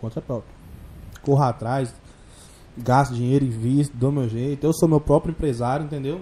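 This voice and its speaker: Fairly high in pitch yet dark and mellow in tone, a man's somewhat breathy voice comes with long, frequent pauses. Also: fairly even intonation, moderate pace. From Goiás, Brazil. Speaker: funk MC. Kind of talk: casual chat. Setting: studio.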